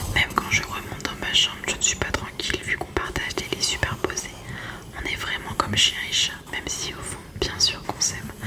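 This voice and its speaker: Noticeable background noise surrounds a woman whispering at a moderate pace. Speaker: ASMR creator. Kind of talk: read story. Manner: whispered.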